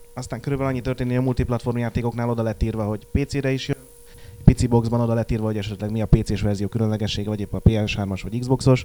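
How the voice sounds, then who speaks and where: Over noticeable background noise, a man talks at a very fast pace with monotone, flat intonation. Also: medium pitch for a man. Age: young. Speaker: magazine editor. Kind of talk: casual chat.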